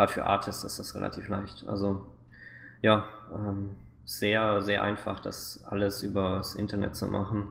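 With long, frequent pauses and audible room echo, a man speaks at a moderate pace in a fairly low pitch, his intonation monotone and flat. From Swabia, southern Germany (near Stuttgart). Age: 20s. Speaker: game producer. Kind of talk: interview.

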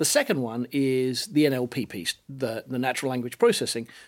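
On a very clean recording with a silent background, a man with a British accent speaks at a fairly quick pace, his pitch medium and ordinary in variation. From Britain. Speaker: business lecturer and consultant. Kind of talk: panel discussion.

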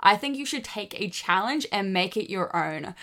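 Bright, sharp female voice with an Australian accent and ordinary pitch variation. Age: 20s. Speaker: social media creator. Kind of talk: podcast monologue.

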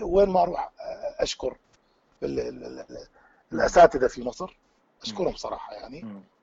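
At a moderate pace, a man talks with an Iraqi accent. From Iraq, Baghdad. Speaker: qanun teacher and musician. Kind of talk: interview. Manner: frank, blunt.

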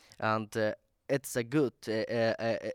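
A man talks at a fairly slow pace in a medium pitch. The recording is very clean, dry and close, with a silent background and no echo. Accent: Afghan. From Afghanistan. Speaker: activist spokesperson. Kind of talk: panel talk. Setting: stage with audience. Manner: halting.

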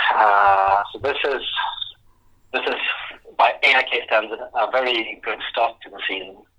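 A man's medium-pitched, very slow delivery with fairly even intonation and long, frequent pauses. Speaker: football journalist. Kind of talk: interview. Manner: halting.

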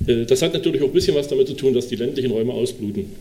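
Talking at a very fast pace, a man of medium pitch shows ordinary pitch variation. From Sachsen-Anhalt, Dessau. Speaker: state politician. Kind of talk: panel talk.

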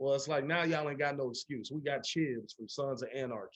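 Ordinary pitch variation runs through the speech. The speaker is a man. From Chicago. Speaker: actor. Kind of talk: casual interview.

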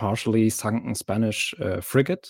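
The speaker is male. His accent is German. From Germany. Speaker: mod developer. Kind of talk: casual interview.

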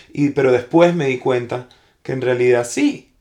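A man speaks with ordinary pitch variation. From Venezuela. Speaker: actor. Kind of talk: casual chat. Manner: loud; halting.

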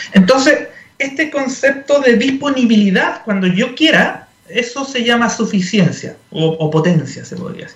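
Amid noticeable background noise and audible room echo, a man speaks at a fairly slow pace with an extremely high pitch and lively intonation. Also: big swings in loudness. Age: 40s. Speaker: energy industry association executive. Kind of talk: radio interview. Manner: halting, many fillers and repeats.

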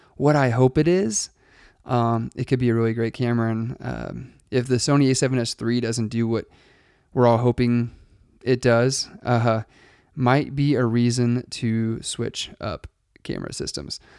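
On a very clean recording with a silent background, a man speaks with fairly even intonation and long, frequent pauses, the sound dry and close with no echo. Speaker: podcast host and wedding filmmaker. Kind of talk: solo podcast monologue. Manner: fast; casual with many fillers.

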